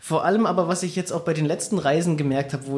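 Here is a man with a plain, everyday voice and a fairly high pitch. He talks at a fairly quick pace with ordinary pitch variation. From Bavaria, Germany (Bayrischzell, south of Munich). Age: 30s. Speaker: bike mountaineer and adventure athlete. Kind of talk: interview. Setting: studio.

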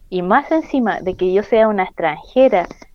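Using a Chilean accent, a woman speaks at a moderate pace with very wide pitch swings. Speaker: professional wrestler. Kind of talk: interview.

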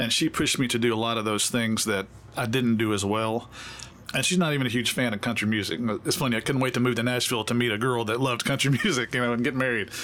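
A man speaks at a medium pitch and a very fast pace, his loudness very even and his intonation fairly even, with noticeable background noise. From Memphis, Tennessee. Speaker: songwriter. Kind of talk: interview.

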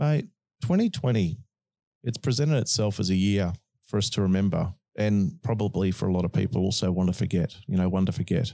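In an Australian accent, this voice has a dark, mellow tone, very even loudness and a fairly quick pace, on a very clean recording with a silent background. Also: man, fairly low pitch for a man, ordinary pitch variation. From Queensland, Australia. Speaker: podcast host. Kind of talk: casual chat.

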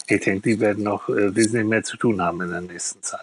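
A man speaks in a fairly low voice. His intonation is flat and monotone. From Hamburg, northern Germany. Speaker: psychologist and TV therapist. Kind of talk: casual interview.

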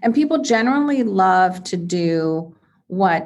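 The intonation stays lively in a plain, everyday voice. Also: woman. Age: 50s. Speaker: serial entrepreneur and investor. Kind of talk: interview conversation.

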